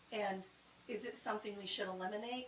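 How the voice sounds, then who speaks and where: A woman is heard here. Her pitch is fairly high. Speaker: town strategic planning presenter. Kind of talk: public meeting presentation. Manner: fast.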